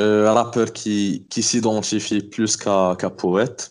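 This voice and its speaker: A man with an ordinary speaking voice talks at a fairly slow pace and a fairly low pitch against a quiet background. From Morocco, Oujda. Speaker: rapper. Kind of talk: casual interview.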